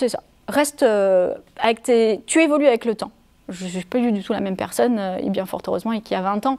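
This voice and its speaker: Fairly quick, fairly high-pitched woman's voice with a dark, mellow tone and ordinary pitch variation. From France, Savoie. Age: 40s. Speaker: improv theatre director. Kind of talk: interview. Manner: hesitant; animated.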